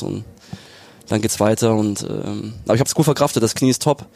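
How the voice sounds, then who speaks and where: With noticeable background noise, a man talks at a moderate pace in a fairly low pitch. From southern Germany, Lake Constance area. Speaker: professional footballer. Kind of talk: casual interview. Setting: stadium box.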